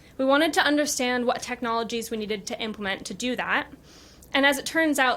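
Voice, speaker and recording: Speaking in an American accent, a woman uses a high pitch with ordinary pitch variation. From United States. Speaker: business executive. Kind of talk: conference talk. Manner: formal.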